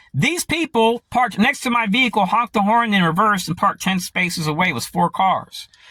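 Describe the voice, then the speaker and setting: Close and dry with no echo, a man's high-pitched, raised, projected voice moves at a fairly quick pace with hardly any pauses, its tone bright and sharp and its intonation lively. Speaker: conspiracy vlogger. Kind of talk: monologue to camera. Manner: fast.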